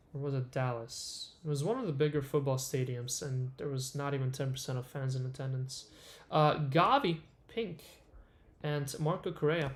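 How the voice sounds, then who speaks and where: A somewhat breathy male voice with ordinary pitch variation at a moderate pace. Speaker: card break livestream host. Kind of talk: live stream commentary while opening packs. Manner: casual, many filler uhs.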